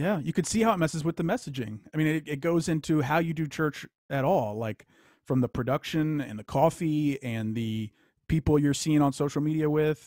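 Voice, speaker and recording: A man in an American accent, with an unremarkable speaking voice, talks at a moderate pace and a fairly high pitch with ordinary pitch variation, the sound dry and close with no echo. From Louisiana, US South. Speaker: author. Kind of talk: casual chat. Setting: video call.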